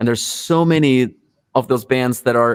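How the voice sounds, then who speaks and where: At a moderate pace, a man with a non-native accent speaks with ordinary pitch variation. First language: not English. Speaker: rock musician. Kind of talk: interview.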